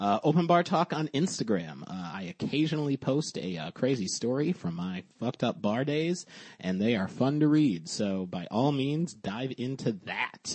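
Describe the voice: With a slightly mellow tone, a man speaks at a moderate pace and medium pitch, with few pauses and lively intonation.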